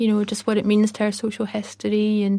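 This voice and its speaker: A woman with a Scottish accent speaks in a fairly high voice with a dark, mellow tone and flat, monotone intonation. The recording is very clean, with a silent background. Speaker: documentary director. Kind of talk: podcast interview. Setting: podcast. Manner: hesitant, many fillers.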